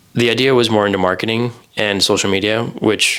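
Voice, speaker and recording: Talking at a fairly quick pace, a man with an American accent uses a normal speaking voice, fairly low pitch and fairly even intonation. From US, Idaho. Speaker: podcast co-host, software engineer. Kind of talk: casual chat.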